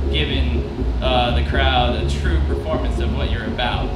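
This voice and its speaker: Amid loud background noise and audible room echo, a man speaks at a moderate pace. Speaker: band member on panel. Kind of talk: interview answer. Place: tent. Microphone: handheld.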